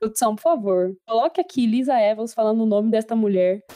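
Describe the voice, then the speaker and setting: At a fairly quick pace, a woman talks in a fairly high voice. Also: dry, close sound with no echo. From Brazil. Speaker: podcast host. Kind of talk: casual chat. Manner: animated.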